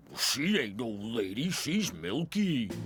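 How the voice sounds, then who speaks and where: A cartoonish character voice moves at a fairly slow pace with very wide pitch swings. Clear background noise is present. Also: man, medium pitch for a man. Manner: blunt, folksy.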